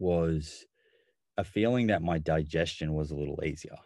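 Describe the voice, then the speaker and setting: Against a quiet background, a man with an Australian accent talks at a moderate pace in a very deep, low pitch, his tone dark and mellow and his pitch variation ordinary. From Australia, Melbourne. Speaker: nutritionist and physiotherapist. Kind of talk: interview.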